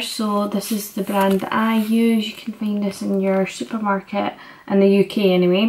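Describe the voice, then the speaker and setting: The woman here keeps to a moderate pace. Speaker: fitness vlogger. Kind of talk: tutorial. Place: kitchen. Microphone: phone near.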